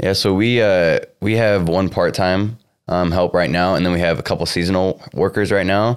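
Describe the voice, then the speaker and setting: A man with a Midwestern US accent speaks in a very deep, low pitch at a moderate pace, with very even loudness and fairly even intonation. The recording is very clean, with a silent background. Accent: US Midwest. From Iowa (Cedar Rapids). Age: 20s. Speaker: young entrepreneur, sneaker store co-founder. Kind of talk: interview. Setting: on location in a shoe store at a mall.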